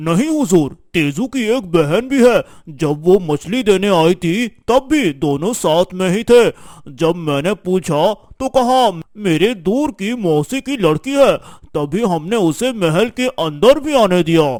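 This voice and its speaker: A man's cartoonish character voice, high-pitched, with very wide pitch swings and a dry, close sound free of echo. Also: fairly slow pace. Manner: hesitant, deferential.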